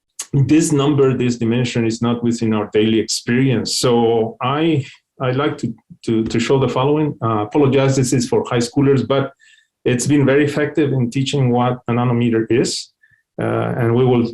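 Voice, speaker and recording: A man with a non-native accent at a very even loudness. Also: medium pitch for a man, fairly even intonation, moderate pace. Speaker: company CEO and scientist giving a webinar talk. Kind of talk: technical webinar lecture. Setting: online webinar. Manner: hesitant, many fillers and repetitions.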